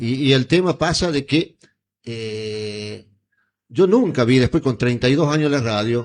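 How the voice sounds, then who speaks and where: This man speaks at a fairly slow pace, using a medium pitch with ordinary pitch variation. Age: 60s. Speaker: radio host. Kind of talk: heated debate. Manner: animated, interrupting.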